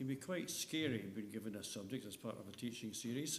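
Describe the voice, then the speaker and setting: Amid audible room echo, a man of medium pitch speaks at a fairly quick pace. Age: 70s. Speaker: lay preacher. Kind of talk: sermon.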